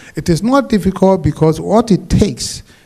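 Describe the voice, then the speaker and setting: A man's intonation is lively and his pace moderate, with noticeable background noise around him. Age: 70s. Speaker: panelist. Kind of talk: panel speech. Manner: animated.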